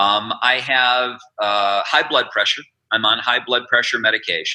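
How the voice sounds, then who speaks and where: In an ordinary speaking voice, a man talks with fairly even intonation. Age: 60s. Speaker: businessman and former state attorney general. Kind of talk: interview.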